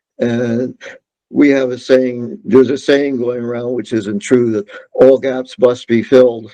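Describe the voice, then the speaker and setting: With a dark, mellow tone and fairly even intonation, a man speaks at a fairly slow pace. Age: 80s+. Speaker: veteran market technical analyst. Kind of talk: interview.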